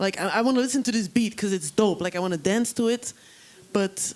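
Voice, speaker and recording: Over noticeable background noise, a woman with a non-native accent talks at a fairly quick pace, her fairly high voice showing ordinary pitch variation. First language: not English. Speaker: panel moderator. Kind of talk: panel discussion.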